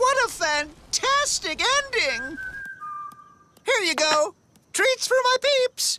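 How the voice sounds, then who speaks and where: A put-on character voice at an extremely high pitch, very slow, with long, frequent pauses. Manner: chirpy, gushing.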